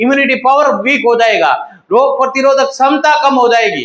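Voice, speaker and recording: A man's voice with fairly even intonation. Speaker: paramedical teacher. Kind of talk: lecture. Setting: online class recording. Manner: repetitive, emphatic. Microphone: echo reported by viewer.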